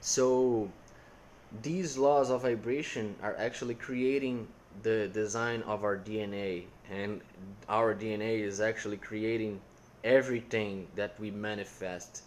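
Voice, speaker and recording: In a Portuguese accent, a man speaks at a fairly slow pace with a fairly low pitch and fairly even intonation. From Brazil. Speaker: content creator. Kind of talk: casual chat. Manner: halting, with repetitions.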